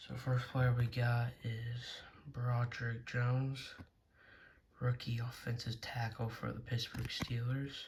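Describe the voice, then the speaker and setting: A man talks at a fairly slow pace in a medium pitch, his intonation monotone and flat. His voice is somewhat breathy, with long, frequent pauses. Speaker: card collecting youtuber. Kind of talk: casual pack opening video. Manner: hesitant, filler words.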